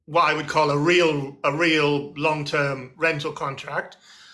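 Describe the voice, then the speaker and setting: Man with an English accent, fairly high pitch, bright and sharp tone, at a fairly slow pace. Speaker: barrister, host. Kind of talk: casual expert discussion.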